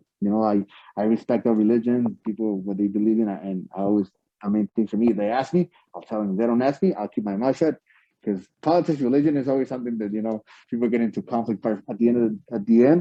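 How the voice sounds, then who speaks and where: With a Spanish accent, a man speaks at a very fast pace. His medium pitch shows ordinary variation. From Mexico, Ciudad Juárez. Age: 40s. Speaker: professional wrestler. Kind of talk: interview. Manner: halting, many repeated words.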